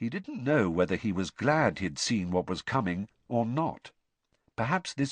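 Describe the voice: Intonation stays lively throughout the plain reading aloud. Nothing else is heard behind it.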